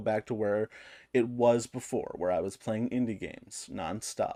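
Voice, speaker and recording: A man with a medium-pitched voice talks at a moderate pace in an ordinary speaking voice against a quiet background. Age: 30s. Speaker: gaming youtuber. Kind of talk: casual chat, reading comments aloud.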